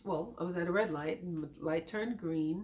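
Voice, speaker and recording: A woman's voice over noticeable background noise. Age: 60s. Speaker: accident survivor. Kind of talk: testimony.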